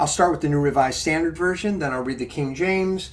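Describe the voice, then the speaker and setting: A man is speaking. Room echo can be heard. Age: 60s. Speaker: pastor leading a Bible study. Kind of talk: mindful Bible study talk. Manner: calm, reflective.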